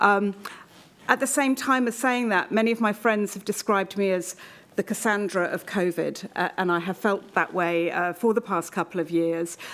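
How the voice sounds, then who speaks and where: The woman has a medium pitch and ordinary pitch variation. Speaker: keynote speaker on pandemic risk communication. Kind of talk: conference keynote talk. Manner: fast.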